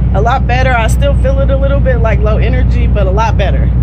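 There is loud background noise. Through it, a woman speaks. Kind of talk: casual vlog chat. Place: street. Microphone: phone near.

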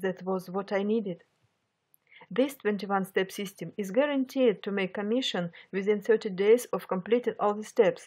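A woman talks at a fairly slow pace in a Russian accent. Her medium pitch and fairly even intonation come through on a very clean recording with a silent background. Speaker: online marketing beginner vlogger. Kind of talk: personal testimony narration. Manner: halting.

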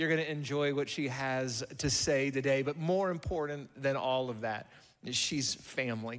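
The voice has a bright, sharp tone against a quiet background. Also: man. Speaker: pastor. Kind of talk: stage announcement and guest introduction, then prayer. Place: church. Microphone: handheld.

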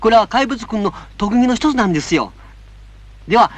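Pitched extremely high, a man talks at a fairly quick pace with lively intonation, in a dry sound with no echo. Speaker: film critic. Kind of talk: friendly commentary addressed to children. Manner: gentle, polite. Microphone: old recording.

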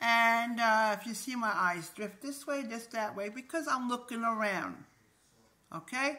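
With a bright, sharp tone, a woman talks at a fairly slow pace. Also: fairly high pitch for a woman, ordinary pitch variation. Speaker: video blogger. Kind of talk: casual vlog monologue. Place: home room. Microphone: phone near.

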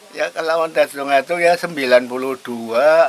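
With ordinary pitch variation, a man talks very slowly. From Tegal, Central Java, Indonesia. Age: 80s+. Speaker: elderly villager interviewee. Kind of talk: interview answers. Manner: halting. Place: home room.

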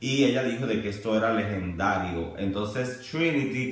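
Audible room echo surrounds a man talking at a moderate pace. His pitch varies in an ordinary way. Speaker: vlogger. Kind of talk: casual vlog commentary. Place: home room. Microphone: camera far.

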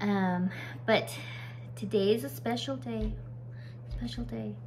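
A woman at fairly high pitch and slow pace, fairly even intonation, over clear background noise.

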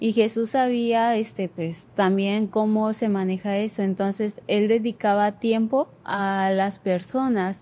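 A woman with a fairly high pitch and a dark, mellow tone, at a very slow pace with fairly even intonation and hardly any pauses. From Culiacán, Sinaloa, Mexico; Sinaloa, Mexico. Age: 20s. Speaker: graphic design student; guest. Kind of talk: casual faith discussion. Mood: calm, reflective. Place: studio. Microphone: studio mic.

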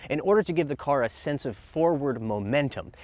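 A man at a fairly quick pace, dry sound with no echo. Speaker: car reviewer. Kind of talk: presenter commentary. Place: street. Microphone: lapel.

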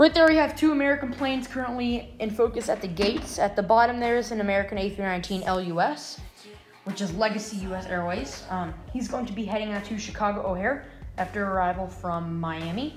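Talking at a very fast pace, a woman is heard with audible room echo and music in the background. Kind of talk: commentary. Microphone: phone near.

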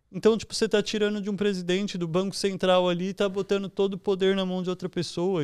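Speaking in a São Paulo accent, a man has a high pitch and a fairly quick pace. The background is quiet. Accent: São Paulo Brazilian Portuguese. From São Paulo, Brazil (East Zone); São Paulo, Brazil. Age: 20s. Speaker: entrepreneur and investor; podcast guest. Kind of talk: casual interview chat. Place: home room. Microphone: studio mic.

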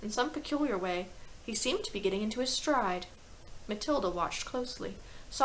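Lively intonation over plain reading aloud.

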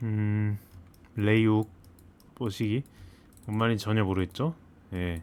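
A man with a fairly low pitch speaks at a very slow pace with fairly even intonation. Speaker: gaming video creator. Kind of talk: gameplay commentary. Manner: thinking aloud, hesitant.

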